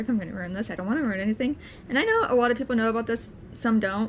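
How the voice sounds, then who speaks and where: A woman's voice over noticeable background noise. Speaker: vlogger. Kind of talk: casual vlog commentary. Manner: fast; hesitant, many fillers.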